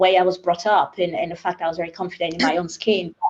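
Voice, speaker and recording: Music runs in the background. Over it, a woman talks. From Nigeria. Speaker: panelist. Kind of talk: panel discussion.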